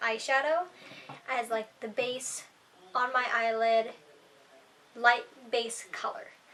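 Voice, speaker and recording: A woman speaks at a high pitch. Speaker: beauty vlogger. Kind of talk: makeup tutorial vlog.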